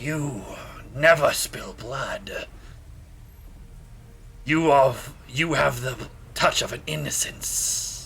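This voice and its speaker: Using a put-on character voice, a man talks in a raspy tone at a very slow pace with long, frequent pauses, over clear background noise. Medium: actual play. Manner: blunt, growling, suspicious.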